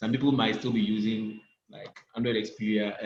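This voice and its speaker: A man with a normal speaking voice, medium pitch, fairly even intonation and a moderate pace. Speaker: graphic design instructor. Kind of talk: online class tutorial.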